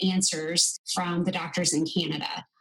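A woman's ordinary speaking voice, medium in pitch, with an American accent and fairly even intonation. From US. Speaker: medical travel business co-owner. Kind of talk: interview.

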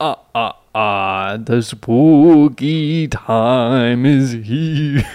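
A man's put-on character voice at a medium pitch. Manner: spooky, theatrical.

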